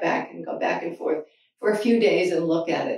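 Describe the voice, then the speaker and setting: There is audible room echo as a woman talks at a fairly quick pace. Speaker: painter. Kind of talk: casual artist talk. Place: hall.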